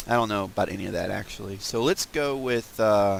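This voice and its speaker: Over noticeable background noise, a man speaks at a moderate pace with medium pitch and ordinary pitch variation. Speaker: gaming video creator. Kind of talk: casual gameplay commentary. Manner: mumbly at times; hesitant, many fillers.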